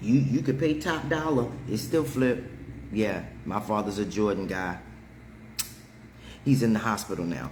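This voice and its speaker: A man's medium-pitched voice with lively intonation, fairly slow pace and long, frequent pauses, in audible room echo. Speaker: livestream host. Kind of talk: casual chat. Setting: livestream. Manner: animated.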